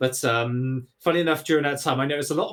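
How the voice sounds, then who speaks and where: A man with a Bristol accent. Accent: Bristolian English. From England, Bristol. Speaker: podcast guest, gaming streamer. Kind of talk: casual chat. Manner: animated.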